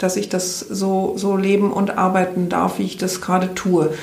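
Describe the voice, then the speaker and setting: A woman talks at a moderate pace with a medium pitch, in a room with audible echo. Background noise is noticeable. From Rhineland, Germany. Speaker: health coach and coach trainer. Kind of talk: interview.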